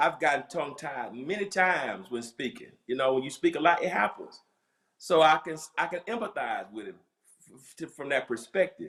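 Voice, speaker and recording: A man with a Southern US accent, fairly high in pitch, with lively intonation and big swings in loudness. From US South. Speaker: pastor. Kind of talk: casual chat. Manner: fast.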